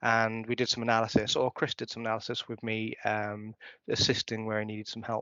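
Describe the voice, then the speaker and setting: In a monotone, flat delivery, a man talks at a fairly quick pace with a medium pitch. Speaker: conference speaker. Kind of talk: conference talk. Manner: fast.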